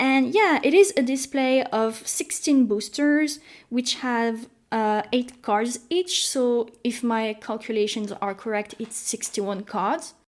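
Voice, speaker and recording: Very slowly and with ordinary pitch variation, a woman with a French accent speaks at a high pitch in a very clean recording with a silent background. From France. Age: 20s. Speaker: YouTuber. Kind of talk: casual vlog talk. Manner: animated.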